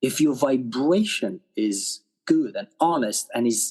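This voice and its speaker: This man has a Romanian accent. His pitch sits fairly high. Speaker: actor and director. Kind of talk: podcast interview. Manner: animated.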